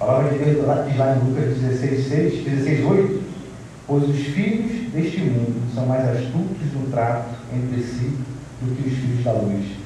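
Noticeable background noise runs behind a man at medium pitch. He keeps a fairly slow pace with ordinary pitch variation. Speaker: preacher. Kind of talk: expository sermon. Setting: church. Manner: earnest, exhorting, formal.

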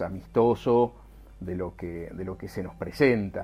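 A man speaks at a fairly low pitch in a dark, mellow tone. His intonation stays fairly even. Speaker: aerospace engineer. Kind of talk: interview. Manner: halting.

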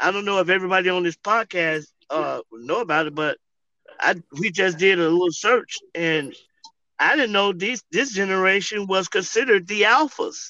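At a moderate pace, a man projects a raised, bright, sharp voice at a high pitch with ordinary pitch variation, the sound dry and close with no echo. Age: 50s. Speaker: street interventionist. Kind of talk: casual interview. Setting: in a car.

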